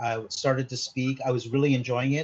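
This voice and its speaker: At a fairly quick pace, a man talks in a medium pitch with a somewhat breathy quality. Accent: Canadian. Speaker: mindset consultant. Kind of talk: interview. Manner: halting, many fillers.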